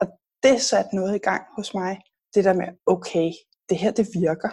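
Speaking at a fairly quick pace, this woman has a medium pitch. Her tone is dark, mellow, and somewhat breathy. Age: 40s. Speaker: health blogger and author. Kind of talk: interview.

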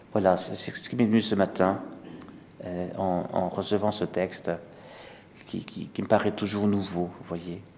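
With audible room echo, the speaker talks at a fairly slow pace in a monotone, flat way, leaving long, frequent pauses. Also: man, fairly low pitch for a man. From Alsace, France. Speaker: priest. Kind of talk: sermon. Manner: halting.

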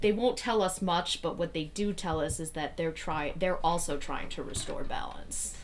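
At a moderate pace with hardly any pauses and ordinary pitch variation comes a plain, everyday voice. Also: woman, fairly low pitch for a woman. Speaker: tabletop roleplaying game player. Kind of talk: casual roleplaying game chat.

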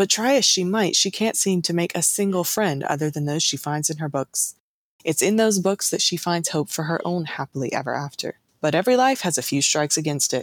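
A woman with an American accent speaks in an unremarkable speaking voice, fairly low in pitch, at a fairly quick pace with lively intonation. The recording is very clean and dry, close-miked with no echo and a silent background. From US South. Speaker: podcast host. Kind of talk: casual chat; scripted narration.

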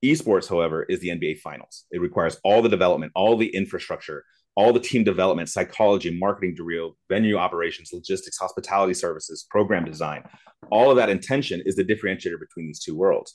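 A man with an American accent at a very fast pace, fairly low in pitch. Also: ordinary pitch variation. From Lawton, Oklahoma, US. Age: 40s. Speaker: university esports director. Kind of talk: panel discussion.

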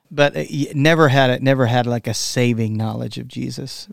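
The sound is dry and close, with no echo. A man speaks in a Texan accent with ordinary pitch variation. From Texas. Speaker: worship musician. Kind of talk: casual interview.

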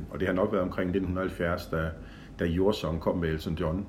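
Audible room echo carries a man's very deep, low, somewhat breathy voice. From Denmark, Horsens (East Jutland). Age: 60s. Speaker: event organizer. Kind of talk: personal reminiscence, casual chat. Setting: home visit interview. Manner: hesitant, many fillers.

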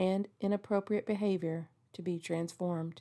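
Speaking at a fairly slow pace, a woman of medium pitch has a dark, mellow tone and monotone, flat intonation. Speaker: sister praying. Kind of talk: fervent spoken prayer. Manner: earnest, heartfelt, intimate.

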